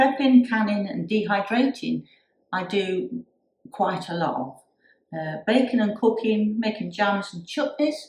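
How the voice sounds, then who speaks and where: A woman speaks at a fairly slow pace with medium pitch. Vocal fry runs through her voice. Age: 60s. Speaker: YouTuber and crafter. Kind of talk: casual vlog talk. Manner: hesitant, with many fillers.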